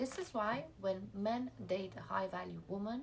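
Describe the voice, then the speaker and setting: A woman speaks with an Iranian accent at a medium pitch. Vocal fry runs through her voice. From Iranian family, schooled in Russia and the UK. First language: Farsi. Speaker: lifestyle vlogger. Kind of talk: motivational talk to camera.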